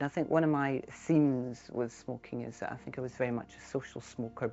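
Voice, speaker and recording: This woman talks at a fairly quick pace with a very deep, low pitch. She speaks in a Scottish accent. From Scotland, Edinburgh. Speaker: ex-smoker sharing her story. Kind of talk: personal testimony.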